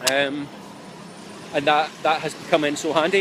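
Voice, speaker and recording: A man speaks with a Scottish accent. Noticeable background noise runs underneath. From Scotland. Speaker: relocation vlogger. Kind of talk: live-streamed travel advice talk. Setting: outdoors in city street, live stream. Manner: casual, many filler ums.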